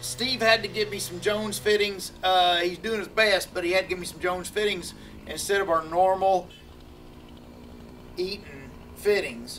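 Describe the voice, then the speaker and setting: The speaker keeps a moderate pace over light background noise. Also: man. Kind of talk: casual vlog chat. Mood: frustrated, telling a bad day. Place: workshop.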